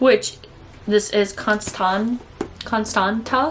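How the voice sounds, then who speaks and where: A woman is speaking. She has a Minnesotan accent. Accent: Minnesota. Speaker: book vlogger. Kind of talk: casual book review vlog. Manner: chatty, casual with frequent 'like'.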